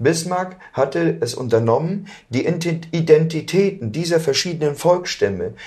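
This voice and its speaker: A man with vocal fry, very slow in pace, with lively intonation. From Germany. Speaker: political activist. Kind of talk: interview via interpreter.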